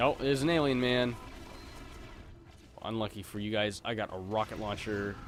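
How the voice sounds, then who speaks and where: Music plays in the background as a man speaks at a moderate pace. His voice is fairly low, with ordinary pitch variation. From Canada. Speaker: gaming streamer. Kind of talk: live gameplay commentary. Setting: live stream. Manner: casual, chatty.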